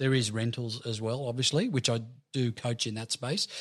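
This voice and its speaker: The audio is very clean, with total silence in the background. A man talks in an Australian accent. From Sydney, eastern suburbs, Australia. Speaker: real estate coach. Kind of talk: casual interview. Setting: host's apartment.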